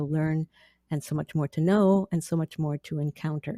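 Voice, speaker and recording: A woman with a slight Canadian accent speaks at a moderate pace in a very deep, low voice with a dark, mellow tone, recorded very cleanly against a silent background with a dry, close sound and no echo. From central Canada prairies. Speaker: author and theologian. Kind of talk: podcast interview.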